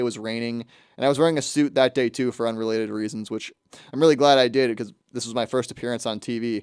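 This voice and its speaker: A man's medium-pitched voice at a very fast pace, with ordinary pitch variation and a dry, close sound with no echo, in a very clean recording against a silent background. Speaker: student radio host. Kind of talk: casual monologue. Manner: many filler words.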